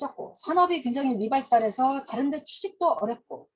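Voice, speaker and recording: Here a woman talks at a moderate pace. Her pitch is high, with ordinary variation. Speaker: history lecturer. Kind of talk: lecture.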